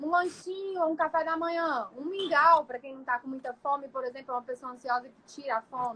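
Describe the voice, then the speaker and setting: A woman speaks in a raised, projected voice at a high pitch, with ordinary pitch variation. Her pace is fairly quick, with hardly any pauses. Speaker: nutritionist. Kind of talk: livestream lecture. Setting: live stream.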